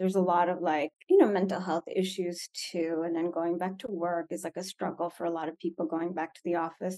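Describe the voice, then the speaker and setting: Soft-spoken and medium in pitch, a woman has a dark, mellow tone in a dry, close sound with no echo. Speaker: school leadership coordinator, former teacher. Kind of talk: interview, conversational.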